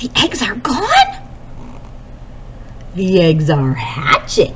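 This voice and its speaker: In a put-on character voice, the speaker goes at a very slow pace over clear background noise. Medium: read story. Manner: calm, plain-spoken.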